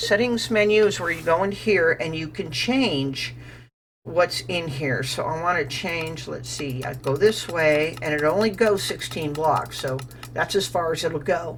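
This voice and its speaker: Over music in the background, the speaker uses lively intonation at a moderate pace. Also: woman. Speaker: gaming YouTuber. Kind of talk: gameplay commentary. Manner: casual.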